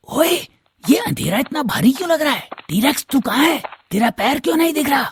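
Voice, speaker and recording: In a cartoonish character voice, a man talks at a fairly quick pace with an extremely high pitch. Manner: blustering, bossy.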